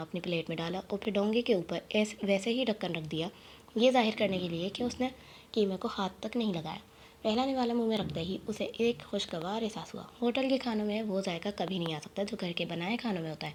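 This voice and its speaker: A woman uses an ordinary speaking voice, her pitch medium and ordinary in its variation. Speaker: audiobook narrator. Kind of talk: novel reading.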